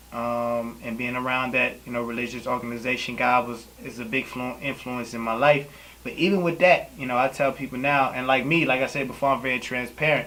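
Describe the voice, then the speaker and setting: A man at medium pitch speaks fairly quickly with fairly even intonation, against noticeable background noise. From Louisiana. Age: 20s. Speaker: poet. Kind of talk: interview. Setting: on camera.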